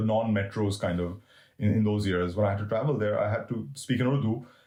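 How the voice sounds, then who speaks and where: Somewhat breathy, a man with a fairly low voice speaks with ordinary pitch variation. The recording is very clean, the background silent. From Middle East. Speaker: cricket writer and historian. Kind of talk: interview conversation. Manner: halting, many repetitions.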